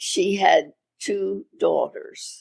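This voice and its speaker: A woman with an American accent, dry and close with no echo. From Maryland, Havre de Grace. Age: 90s. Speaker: retired radio station owner. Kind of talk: interview.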